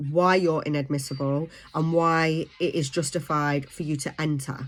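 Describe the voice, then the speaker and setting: A woman with a British accent speaks at a moderate pace and fairly low pitch on a very clean recording with a silent background. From UK. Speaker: vlogger. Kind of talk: informational vlog. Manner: hesitant, many fillers.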